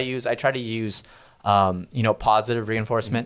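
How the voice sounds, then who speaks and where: This man has an unremarkable speaking voice at a medium pitch, with fairly even intonation and a moderate pace, on a very clean recording with a silent background. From California, Central Valley (Visalia). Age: 30s. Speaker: sales executive at a tech company. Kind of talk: podcast interview.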